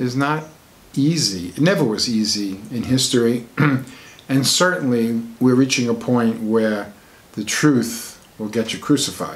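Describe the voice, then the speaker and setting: A man's plain, everyday voice at a medium pitch and fairly slow pace, with ordinary pitch variation. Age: 60s. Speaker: alternative medicine author. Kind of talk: personal talk to camera.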